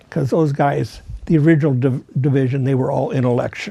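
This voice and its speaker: A man with a fairly high pitch speaks at a fairly quick pace with fairly even intonation over noticeable background noise. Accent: American. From Chicago area, US Midwest. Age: 90s. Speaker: war veteran. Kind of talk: oral history interview. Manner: halting, frequent fillers and restarts.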